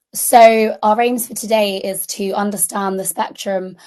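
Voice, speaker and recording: The speech comes at a moderate pace in a British accent. The background is quiet. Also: woman. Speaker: junior doctor teaching medical students. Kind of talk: lecture. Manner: hesitant with many fillers.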